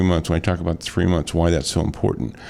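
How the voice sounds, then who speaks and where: Noticeable noise runs in the background as someone talks with an American accent. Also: man. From US Midwest, metro-East St. Louis area, Illinois. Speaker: radio host and real estate broker. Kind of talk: radio talk show. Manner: conversational with frequent repetitions.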